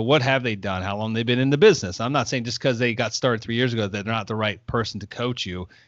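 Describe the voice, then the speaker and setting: A man talks at a very fast pace. His pitch sits in the medium range with ordinary variation. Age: 40s. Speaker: real estate investor. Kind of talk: casual interview. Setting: studio.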